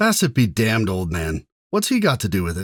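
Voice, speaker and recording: In a put-on character voice of medium pitch, a man speaks at a fairly quick pace on a very clean recording with a silent background. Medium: read story. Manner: hearty, bantering.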